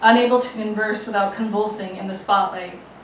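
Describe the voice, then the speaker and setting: A woman speaks with fairly even intonation. Light background noise and audible room echo are present. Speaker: poet performer. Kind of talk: poetry reading. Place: bar.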